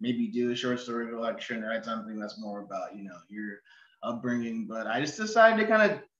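Over a quiet background with audible room echo, a man with an American accent talks at a fairly quick pace in a bright, sharp tone with big swings in loudness. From Oregon, US (Ashland); Oregon. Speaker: novelist. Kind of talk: interview. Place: home room. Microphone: video call.

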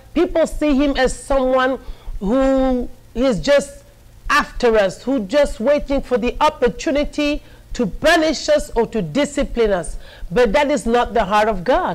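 A woman speaks in a high pitch at a fairly slow pace. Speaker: preacher. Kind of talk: sermon. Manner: formal, earnest pulpit delivery with rhythmic repetition; warm, encouraging and didactic. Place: studio.

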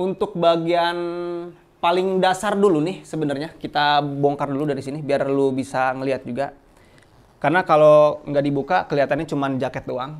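With ordinary pitch variation, a man talks at a fairly high pitch. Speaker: outdoor gear shop presenter. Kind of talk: product demo and sales pitch, like a street seller hawking wares. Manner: fast, chatty, upbeat pitchman patter; casual Jakarta slang, hard-sell push to subscribe and buy. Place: shop.

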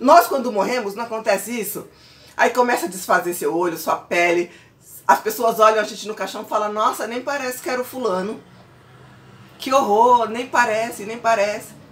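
A woman's animated voice, moderate in pace, with ordinary pitch variation. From Brazil. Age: 40s. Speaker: pastor and vlogger; pastor, vlogger. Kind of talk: casual vlog monologue. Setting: at home. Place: home room. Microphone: phone near.

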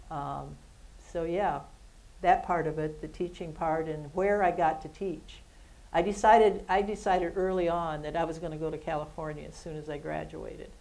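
A woman with an American accent speaks at a moderate pace and a fairly low pitch, with vocal fry. Her tone is dark and mellow, and her intonation stays fairly even. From Ohio, US Midwest. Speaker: retired athletics administrator; interview guest. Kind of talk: interview on stage. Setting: stage with audience. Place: studio.

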